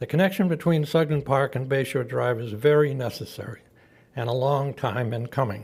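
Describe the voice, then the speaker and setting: A man speaks fairly quickly at medium pitch, somewhat breathy. The recording is very clean, with a silent background. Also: ordinary pitch variation. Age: 80s+. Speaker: public commenter, retired real estate executive. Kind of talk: public comment at county meeting. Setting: county commission meeting chamber. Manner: formal.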